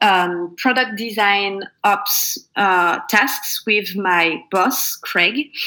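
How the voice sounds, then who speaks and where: A woman with a French accent speaks in a bright, sharp tone with ordinary pitch variation. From France, Normandy. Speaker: product designer. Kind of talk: interview.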